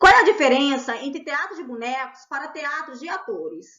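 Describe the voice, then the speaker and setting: A woman's high-pitched voice at a moderate pace, with very wide swings in pitch. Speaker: art educator. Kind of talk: educational lecture.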